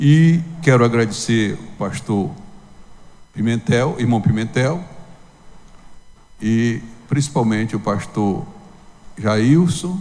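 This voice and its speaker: In audible room echo, a man speaks at a very slow pace with long, frequent pauses. His intonation is lively. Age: 70s. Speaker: pastor. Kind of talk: sermon.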